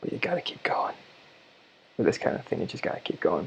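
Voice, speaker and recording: A man whispers. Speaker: digital artist streamer. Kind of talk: commentated drawing stream. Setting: lying in bed while streaming. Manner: casual, halting with fillers.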